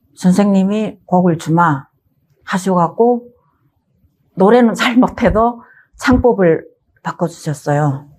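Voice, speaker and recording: Speaking in a North Korean accent, a woman moves at a very slow pace with long, frequent pauses, a medium pitch and lively intonation. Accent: North Korean dialect, some. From North Korea, North Hamgyong. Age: 50s. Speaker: singer, North Korean defector. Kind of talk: life story interview.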